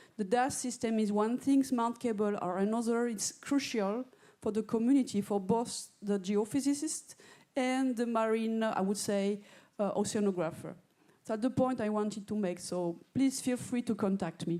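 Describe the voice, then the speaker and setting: A woman speaks with a dark, mellow tone and ordinary pitch variation. Her pace is moderate. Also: fairly high pitch for a woman. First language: not English. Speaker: director of a marine research infrastructure. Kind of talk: audience comment at a conference.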